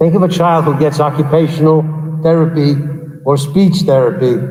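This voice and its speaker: A man with a fairly high pitch speaks in a passionate tone at a moderate pace. Audible room echo surrounds his voice. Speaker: school superintendent. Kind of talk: public meeting address. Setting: big room. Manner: loud.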